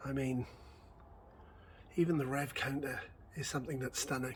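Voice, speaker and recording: This man's voice is somewhat breathy and fairly high-pitched, with ordinary pitch variation. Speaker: car channel vlogger. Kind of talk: casual vlog walkthrough. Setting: workshop.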